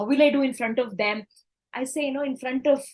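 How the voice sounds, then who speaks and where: A woman with an Indian accent, high-pitched for a woman, at a very fast pace. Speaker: corporate trainer and speaker. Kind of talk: interview storytelling. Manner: animated; halting.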